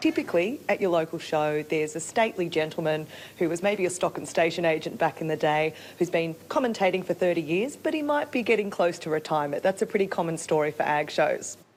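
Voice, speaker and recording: Noticeable background noise sits under a woman's fairly low voice. She talks very fast with ordinary pitch variation. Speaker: show ring announcer trainer. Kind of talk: interview answer.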